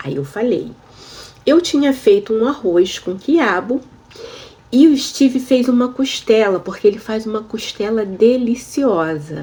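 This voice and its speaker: Fairly slow and fairly high, a woman speaks with lively intonation in an unremarkable speaking voice. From Brazil. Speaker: YouTuber sharing immigration experience. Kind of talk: personal storytelling vlog. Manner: conversational, addresses viewers.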